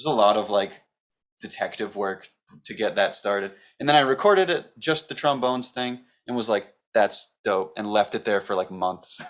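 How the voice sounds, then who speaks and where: With an American accent and a normal speaking voice, a man talks at a moderate pace, his fairly low pitch showing ordinary variation. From Massachusetts. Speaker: musician. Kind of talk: casual chat.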